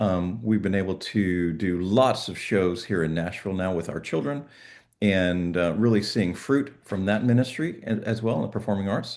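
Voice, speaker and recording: Against a quiet background, a man with an ordinary speaking voice talks at a moderate pace in a fairly low pitch with ordinary pitch variation. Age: 60s. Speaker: network marketing presenter. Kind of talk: sales pitch.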